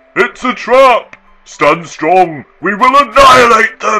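A man uses a put-on character voice, high in pitch, raised and projected. He speaks at a fairly slow pace over faint music in the background. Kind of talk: battle cry. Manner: gruff, fierce.

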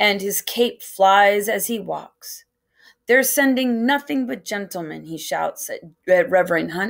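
Someone reads aloud plainly against a quiet background.

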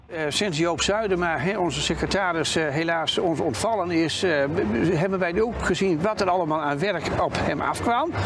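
A man with a high voice and ordinary pitch variation talks through noticeable background noise. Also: moderate pace. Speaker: festival organizer. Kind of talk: interview. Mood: calm, pleased. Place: waterside. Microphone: lapel.

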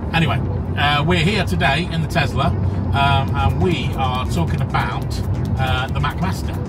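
Clear background music under a man talking at a moderate pace. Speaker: car channel host. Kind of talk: casual vlog chat. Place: car. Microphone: phone near.

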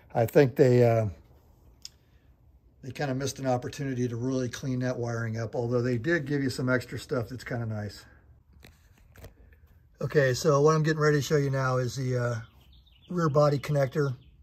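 A man speaks at a fairly quick pace, his voice somewhat breathy. His intonation stays fairly even. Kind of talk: casual how-to commentary. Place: garage. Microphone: phone near.

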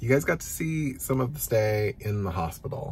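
Somewhat breathy, the man talks with ordinary pitch variation. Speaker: vlogger. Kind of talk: casual vlog chat. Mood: happy, relieved.

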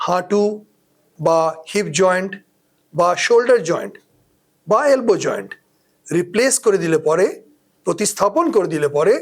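Ordinary pitch variation runs through a man's high-pitched speech. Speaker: orthopedic surgeon. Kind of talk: health explainer talk. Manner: warm, conversational.

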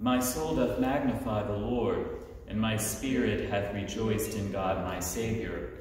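In strong room echo with light background noise, a man with a fairly low pitch talks at a fairly slow pace with fairly even intonation. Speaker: officiant leading evening prayer. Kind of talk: liturgical prayer service. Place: church. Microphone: camera far.

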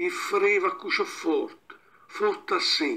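A man with an Abruzzese accent, speaking at a very slow pace. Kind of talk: fable reading in local dialect.

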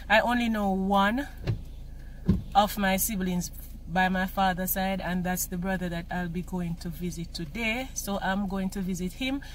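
A somewhat breathy woman at a moderate pace with fairly even intonation, dry with no echo, over light background noise. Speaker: vlogger. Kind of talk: casual vlog chat. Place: car. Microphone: phone near.

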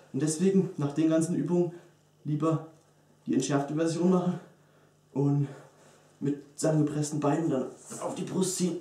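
At a moderate pace, a man talks in a dark, mellow tone with fairly even intonation, long, frequent pauses, and audible room echo. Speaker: fitness vlogger. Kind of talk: tutorial. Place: gym. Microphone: camera far.

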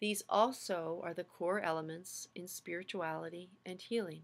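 Here a woman speaks in a calm, soothing tone. Her intonation stays fairly even. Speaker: seminary faculty lecturer. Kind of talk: lecture with a guided visualization segment. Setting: video lecture. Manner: slow, calm, soothing guided-meditation pacing; explanatory, friendly, welcoming. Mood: calm, reflective. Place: home room. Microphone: webcam.

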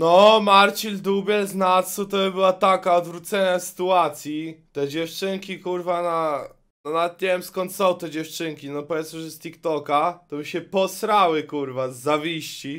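A man talks fairly slowly, his intonation fairly even, with a quiet background behind him. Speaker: streamer. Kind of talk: casual stream commentary. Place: home room. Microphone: studio mic.

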